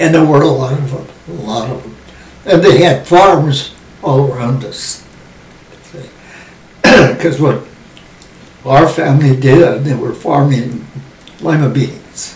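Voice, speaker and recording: A man with an American accent, fairly high in pitch, at a fairly slow pace with long, frequent pauses, ordinary pitch variation and big swings in loudness, plus noticeable background noise and audible room echo. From US West, Los Angeles area. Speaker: WWII generation elder interviewee. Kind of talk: oral history interview.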